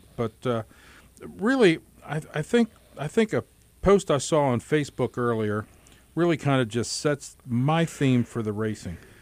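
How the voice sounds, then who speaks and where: A man's fairly slow delivery with long, frequent pauses. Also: medium pitch for a man, dry, close sound with no echo. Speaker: radio host. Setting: radio studio.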